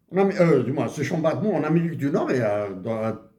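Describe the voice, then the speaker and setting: A man speaks at a moderate pace in a fairly high voice, with vocal fry and very wide pitch swings. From Algeria, Kabylie (Akbou, Bejaia). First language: Tamazight (Kabyle) (speaking French). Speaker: economics commentator. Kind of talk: monologue video commentary. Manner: halting, many hesitations.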